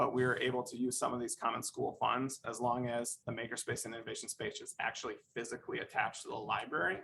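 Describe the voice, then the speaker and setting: Loudness rises and falls sharply as the words rush out at a very fast pace with hardly any pauses. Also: man. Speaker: school district staff presenter. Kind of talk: formal presentation. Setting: school board meeting.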